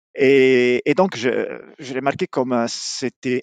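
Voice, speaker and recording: A man with an Italian accent speaks at a fairly slow pace in a medium pitch. The sound is dry and close, with no echo. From southern Italy, Apulia. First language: Italian (speaking French). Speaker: mechanical engineer. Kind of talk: interview. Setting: remote call. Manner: halting.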